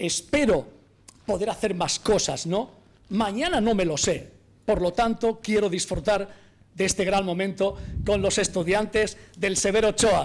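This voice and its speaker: At a fairly slow pace with long, frequent pauses, a man speaks in a high pitch with ordinary pitch variation and very even loudness. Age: 50s. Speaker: sports radio journalist. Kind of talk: live radio speech. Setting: council chamber, live broadcast. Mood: warm, smiling at times. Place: hall. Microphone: podium.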